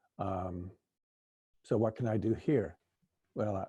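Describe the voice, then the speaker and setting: Somewhat breathy, the voice keeps a moderate pace with ordinary pitch variation. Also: man. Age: 70s. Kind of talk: panel discussion.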